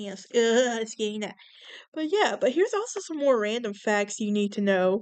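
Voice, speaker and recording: A woman's fairly high-pitched voice with ordinary pitch variation and a Southern US accent. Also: moderate pace, big swings in loudness. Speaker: podcast host. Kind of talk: casual podcast monologue reading facts. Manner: casual, with fillers and stumbles.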